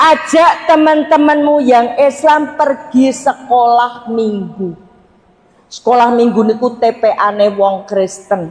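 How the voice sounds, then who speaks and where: The speech moves at a very slow pace with very even loudness. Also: woman, high pitch for a woman. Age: 60s. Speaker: Islamic preacher. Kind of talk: religious talk to congregation. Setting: mosque with audience. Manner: animated.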